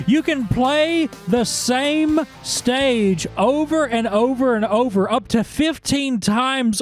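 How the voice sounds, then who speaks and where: Music plays in the background as a man speaks at an extremely high pitch. His pace is very slow and his intonation lively. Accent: Southern US. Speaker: gaming YouTuber. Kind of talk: comedic game review.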